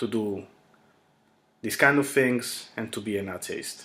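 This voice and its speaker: The speaker uses an Italian accent at a very slow pace with fairly even intonation. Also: man. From Italy. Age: 20s. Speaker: YouTuber. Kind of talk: casual monologue.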